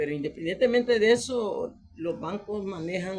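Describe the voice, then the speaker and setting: A man's high voice with a Salvadoran accent, at a fairly slow pace with ordinary pitch variation. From El Salvador. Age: 60s. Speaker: retiree and citizen commentator. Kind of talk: video monologue appeal to the president. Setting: self-recorded video for Facebook.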